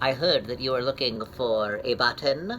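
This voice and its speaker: A put-on character voice in a low-to-middle pitch moves at a moderate pace over clear background noise. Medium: read story.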